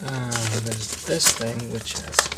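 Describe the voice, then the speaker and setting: A man whispers at a very slow pace. The room echo is audible. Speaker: card unboxing youtuber. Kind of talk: casual product unboxing. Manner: whispering.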